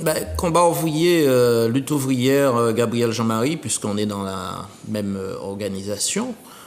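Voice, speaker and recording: With music in the background and audible room echo, a man of medium pitch speaks at a fairly slow pace with lively intonation. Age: 60s. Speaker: retired teacher and political candidate. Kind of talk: TV interview.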